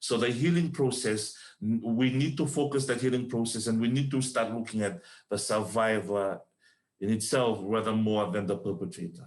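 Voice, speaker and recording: In a non-native accent, a man talks with very even loudness and ordinary pitch variation. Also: medium pitch for a man, moderate pace, quiet background. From Fiji. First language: not English. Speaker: panelist on gender-based violence. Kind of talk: panel discussion. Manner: halting.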